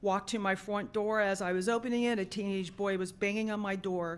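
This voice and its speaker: Her intonation fairly even and her pitch medium, the woman has an unremarkable speaking voice. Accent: American. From South Florida. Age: 60s. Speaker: public commenter, retired paramedic and nurse. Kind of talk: public comment at a school board meeting. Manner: formal.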